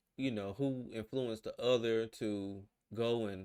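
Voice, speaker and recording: A man speaks in a Southern US accent at a fairly low pitch. His pitch varies in an ordinary way, on a very clean recording with a silent background. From US South. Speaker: reaction video creator. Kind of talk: casual commentary. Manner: hesitant, filler-heavy.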